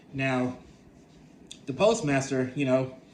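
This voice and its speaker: Somewhat breathy male voice. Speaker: vlogger sharing personal experiences. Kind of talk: personal storytelling monologue. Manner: halting, many repetitions.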